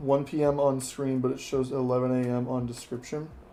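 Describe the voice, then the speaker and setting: There is audible room echo around a man speaking in an American accent. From Texas. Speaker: flight sim streamer. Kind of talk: live stream commentary. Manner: casual, conversational.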